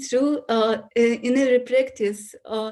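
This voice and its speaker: Speaking at a fairly slow pace, a woman with a non-native accent holds a high pitch in a monotone, flat delivery. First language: Russian. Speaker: yoga student. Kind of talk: Q&A testimony. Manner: halting.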